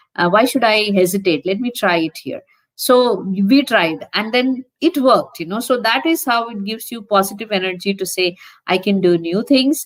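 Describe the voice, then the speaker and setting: In an ordinary speaking voice, a woman talks with fairly high pitch and lively intonation. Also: moderate pace. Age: 60s. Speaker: nurse educator. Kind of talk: conference talk.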